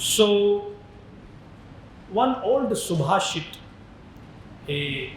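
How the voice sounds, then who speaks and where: Lively intonation comes with a Marathi accent, noticeable background noise and audible room echo. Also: man, high pitch for a man. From India, Maharashtra. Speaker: spiritual teacher. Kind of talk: lecture.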